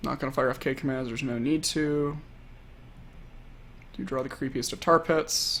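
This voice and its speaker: A man with a fairly high voice and ordinary pitch variation speaks with long, frequent pauses. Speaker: professional card game player streaming. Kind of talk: live gameplay commentary. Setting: live stream. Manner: fast.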